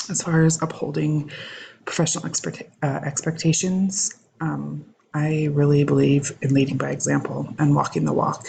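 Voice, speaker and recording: A quiet woman's voice at a moderate pace. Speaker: education student. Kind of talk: recorded assignment reflection. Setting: home recording at night. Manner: halting with many fillers.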